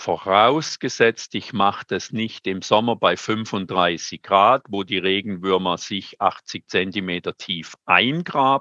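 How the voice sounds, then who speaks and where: A man's fairly low, bright, sharp voice with ordinary pitch variation, a very slow pace and hardly any pauses, in a dry, close sound with no echo and a quiet background. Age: 70s. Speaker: master gardener and compost advisor. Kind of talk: webinar talk.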